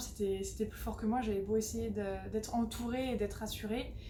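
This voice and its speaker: Noticeable background noise fills the recording along with audible room echo. Through it, a woman talks at a moderate pace. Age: 20s. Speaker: hypnotherapy client, student. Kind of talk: testimony. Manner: halting, many hesitations.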